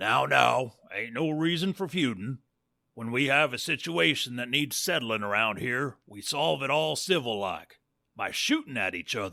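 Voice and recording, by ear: In a put-on character voice, a man speaks at a fairly slow pace with a medium pitch and lively intonation. His tone is bright and sharp, with vocal fry.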